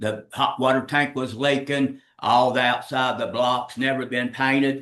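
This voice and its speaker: A man with an American accent speaks at a medium pitch and a fairly slow pace. His tone is bright and sharp, his intonation monotone and flat. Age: 60s. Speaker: estate executor, home builder. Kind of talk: public testimony at meeting. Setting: county commission meeting.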